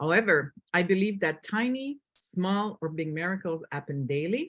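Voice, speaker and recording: Someone with a French accent speaks at a moderate pace. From Quebec. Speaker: book co-author. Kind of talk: reading aloud.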